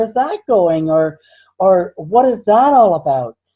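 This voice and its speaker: With a plain, everyday voice, a woman speaks at a fairly slow pace with lively intonation. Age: 60s. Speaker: minister and psychic healer. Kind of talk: interview.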